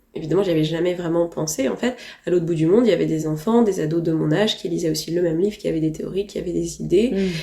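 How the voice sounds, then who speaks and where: Her voice sits fairly low for a woman, with ordinary pitch variation. She talks at a very fast pace. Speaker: novelist. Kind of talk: interview answer. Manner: enthusiastic, precise.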